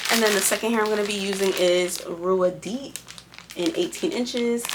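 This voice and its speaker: Noticeable background noise runs behind a woman. Her pitch varies in an ordinary way. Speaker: beauty vlogger. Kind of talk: hair tutorial. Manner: casual, chatty.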